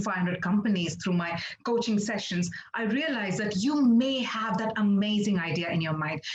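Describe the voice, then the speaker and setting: Telugu-accented speech at a moderate pace, with noticeable background noise. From India, Andhra Pradesh (Kakinada). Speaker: international anchor and presenter. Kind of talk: webinar talk.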